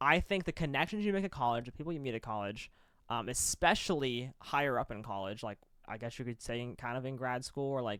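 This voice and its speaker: A man speaks at a medium pitch with ordinary pitch variation, recorded very cleanly against a silent background. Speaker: college esports caster and show co-host. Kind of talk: casual debate chat. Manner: fast; animated.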